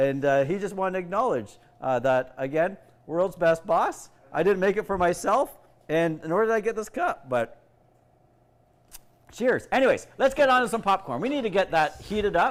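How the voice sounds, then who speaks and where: A loud man speaks at a moderate pace in a high pitch with very wide pitch swings. Long, frequent pauses break up his speech. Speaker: youth organization executive director. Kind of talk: casual cooking livestream. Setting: kitchen livestream.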